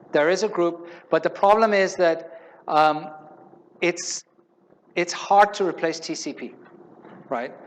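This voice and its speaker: A man speaks at a high pitch with fairly even intonation. His pace is fairly slow, broken by long, frequent pauses. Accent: non-native. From Spain. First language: not English. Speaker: conference speaker, software developer advocate. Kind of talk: conference talk with Q&A. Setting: stage with audience. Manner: conversational, some hesitations.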